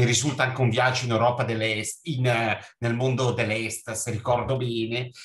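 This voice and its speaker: In monotone, flat intonation, a man speaks at a medium pitch. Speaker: doctor. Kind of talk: audience question.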